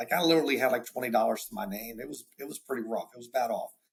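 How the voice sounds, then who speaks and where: An animated male voice with a strong Southern accent. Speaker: insurance agency owner. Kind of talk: casual interview. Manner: animated, repeats words often.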